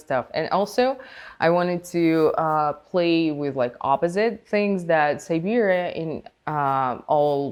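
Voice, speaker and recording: At a fairly slow pace, a woman talks with lively intonation and a fairly low pitch. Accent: Russian. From Russia. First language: Russian. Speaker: podcast guest, festival community member. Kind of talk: casual interview chat. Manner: halting, many fillers.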